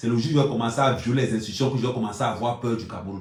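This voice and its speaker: Loud and animated, a man speaks at a medium pitch amid audible room echo. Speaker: YouTube blogger. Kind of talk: live stream monologue.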